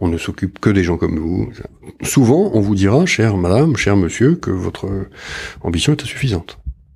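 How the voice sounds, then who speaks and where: At a moderate pace, a man with a fairly low pitch talks with lively intonation and long, frequent pauses, his voice somewhat breathy. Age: 50s. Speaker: public investment bank executive. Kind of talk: interview.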